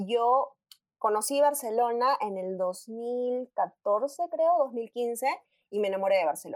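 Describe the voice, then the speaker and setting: A woman's fairly high voice at a very slow pace, with lively intonation. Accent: Peruvian. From Peru, Arequipa. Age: 20s. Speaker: industrial engineer. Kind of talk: casual chat.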